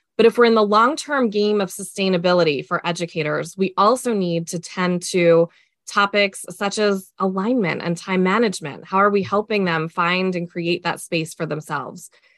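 Hardly pausing at all, a woman speaks at a moderate pace with medium pitch and ordinary pitch variation. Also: quiet background. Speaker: education consultant and author. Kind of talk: podcast interview. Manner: upbeat.

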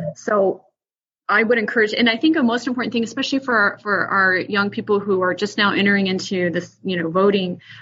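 With an American accent and a normal speaking voice, a woman talks at a medium pitch and a fairly quick pace with ordinary pitch variation. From outside the US. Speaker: school board candidate. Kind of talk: interview.

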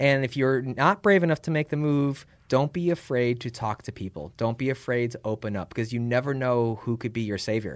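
A man with an American accent talks in a normal speaking voice at a medium pitch and ordinary pitch variation, keeping a fairly quick pace with hardly any pauses in a very clean recording with a silent background. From Chicago, US Midwest. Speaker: tech startup founder. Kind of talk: casual interview. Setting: in person.

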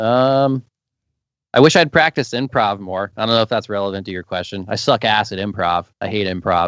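A man with a plain, everyday voice speaks fairly quickly at a fairly low pitch with ordinary pitch variation, in a dry, close sound with no echo. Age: 20s. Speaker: touring guitarist. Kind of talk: casual interview.

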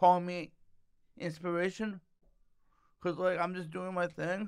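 This man's voice is high-pitched with a bright, sharp tone, caught on a very clean recording against a silent background. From Toronto, Canada. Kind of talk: casual chat. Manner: stuttering, jokes around.

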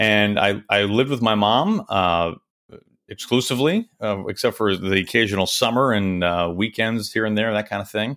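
This is a plain, everyday voice. Its pitch varies in an ordinary way. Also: man, fairly low pitch for a man, moderate pace. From Kansas City. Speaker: baseball play-by-play announcer. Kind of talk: casual interview chat. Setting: recorded remotely, video call.

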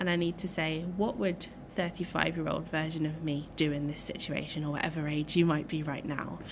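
A woman speaks with an English accent. Her pace is fairly quick. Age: 30s. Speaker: dog trainer and clinical psychologist. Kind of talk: solo podcast talk.

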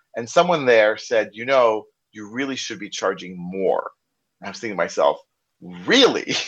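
A man speaks against a quiet background. His loudness swings widely. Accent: slight American. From US. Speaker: software trainer, consultant. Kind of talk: casual interview. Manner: fast talker.

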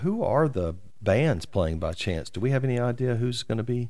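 Lively intonation marks this man's speech at a medium pitch. He talks at a fairly quick pace, with audible room echo. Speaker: community podcast host. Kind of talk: interview. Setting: office.

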